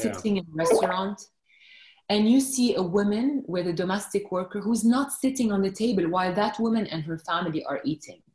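Speaking at a fairly quick pace, a woman is heard with audible room echo and light background noise. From Lebanon. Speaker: journalist. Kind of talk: podcast interview answer. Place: home room. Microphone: video call.

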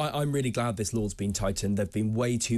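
A male speaker, pitch varying in an ordinary way. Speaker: panel pundit. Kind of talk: panel discussion. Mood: earnest, opinionated. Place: studio. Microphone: studio mic.

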